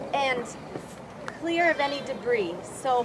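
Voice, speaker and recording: Noticeable noise fills the background. A woman talks over it. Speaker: flight nurse. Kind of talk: safety training talk. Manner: mumbling; quiet.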